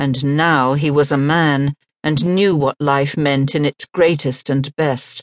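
Against a quiet background, a woman with a very deep, low pitch talks at a fairly slow pace in a dry, close sound with no echo. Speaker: audiobook narrator. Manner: emotive, impassioned and ardent, with sweeping rises and falls to carry the longing.

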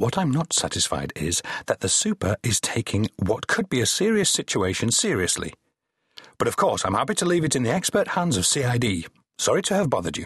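A man's put-on character voice, strained and fairly quick, at a medium pitch with very wide pitch swings and a dry, close sound with no echo. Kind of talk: formal, pompous. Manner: icily restrained.

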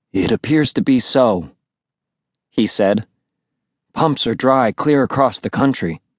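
Against a quiet background, a man with a medium pitch speaks at a fairly slow pace in an animated tone, his intonation lively and his pauses long and frequent. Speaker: audiobook narrator. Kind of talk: dramatic audiobook narration, first-person teen voice with character dialogue. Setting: studio. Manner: animated, expressive, shifting into dad and sibling voices.

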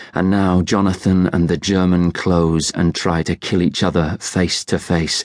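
A man with a British accent speaks very deep and low in a monotone, flat line, at a fairly slow pace with hardly any pauses and very even loudness. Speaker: audiobook narrator. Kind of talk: dramatic first-person audiobook narration of a war novel. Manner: tense, vivid, urgent storytelling with hushed dread in the quieter moments.

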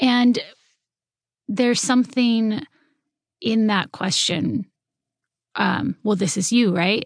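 A woman talks at a very slow pace with long, frequent pauses, her fairly high, somewhat breathy voice showing ordinary pitch variation in a dry, close sound with no echo. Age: 30s. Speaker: novelist. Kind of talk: interview.

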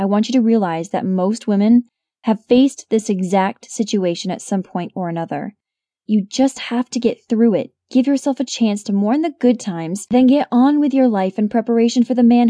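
A woman's voice with a dark, mellow tone and ordinary pitch variation. The sound is dry and close with no echo, and the background is quiet. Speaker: audiobook narrator. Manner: sassy, big-sister tough-love encouragement; punchy and emphatic, with rhetorical questions and quick comebacks.

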